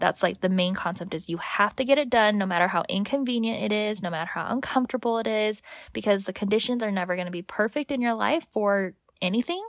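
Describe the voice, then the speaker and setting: At a fairly quick pace, a woman with a fairly high pitch and ordinary pitch variation talks in an ordinary speaking voice. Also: very clean recording, silent background. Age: 20s. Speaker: podcast co-host, cookbook author. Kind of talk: casual chat.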